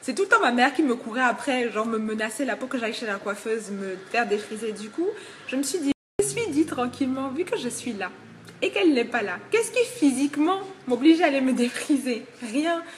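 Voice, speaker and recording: A woman with a high pitch talks at a fairly quick pace with lively intonation and big swings in loudness. Noticeable background noise sits behind her. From Togo. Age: 20s. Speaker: hair shop worker and student. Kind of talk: casual vlog. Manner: hesitant, many fillers.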